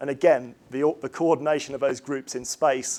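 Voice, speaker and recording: A man talks at a fairly quick pace with fairly even intonation. His pitch sits fairly high. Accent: English. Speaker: chemistry professor. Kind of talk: lecture. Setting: lecture hall with audience. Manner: fast; hesitant, many fillers.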